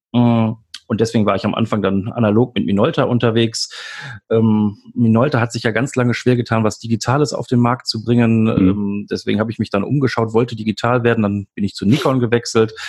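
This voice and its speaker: A man's medium-pitched voice moves at a fairly quick pace with fairly even intonation. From Germany, Lower Rhine (Mönchengladbach). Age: 40s. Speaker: doctor and hobby photographer, blogger. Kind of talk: casual interview chat. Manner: halting, many filler sounds.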